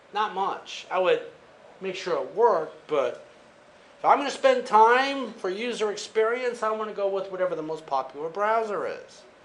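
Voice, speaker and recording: Audible room echo surrounds a man with a high pitch and lively intonation. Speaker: college instructor. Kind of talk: lecture. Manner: fast; casual.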